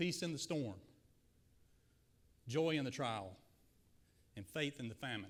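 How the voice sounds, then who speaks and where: With a Southern accent, a man talks at a moderate pace in an energetic tone and a fairly high pitch. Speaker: guest preacher. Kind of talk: sermon. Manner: energetic, addresses audience directly. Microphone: slight echo and feedback from PA.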